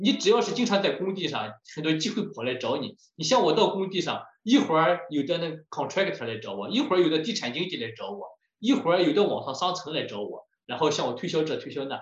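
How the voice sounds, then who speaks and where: At a very fast pace, a man with a high pitch makes very wide pitch swings amid audible room echo. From China, Shandong. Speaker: home builder and lecturer. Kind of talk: lecture.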